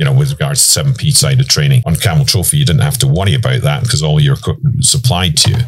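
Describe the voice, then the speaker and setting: With a British accent, a man talks at a very fast pace and a medium pitch, his voice swinging very widely in pitch. His loudness stays very even despite noticeable background noise. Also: hardly any pauses. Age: 60s. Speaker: overland expedition coordinator and trainer. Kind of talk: interview. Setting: inside a parked camper vehicle at an outdoor expo.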